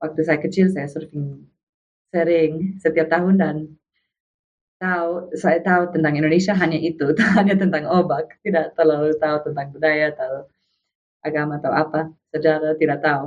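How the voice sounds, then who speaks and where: A woman at a moderate pace with an English accent, very deep and low in pitch, in a monotone, flat delivery. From USA. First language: English (speaking Indonesian). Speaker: foreign volunteer guest. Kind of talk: podcast interview. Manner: halting.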